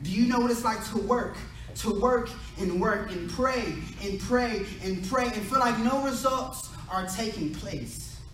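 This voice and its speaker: Over noticeable background noise and audible room echo, a man with an American accent talks fairly slowly in a high pitch with ordinary pitch variation. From US Midwest, Indiana (Terre Haute). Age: 20s. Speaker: prison chaplain and preacher. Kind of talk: sermon. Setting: ministers' conference with audience.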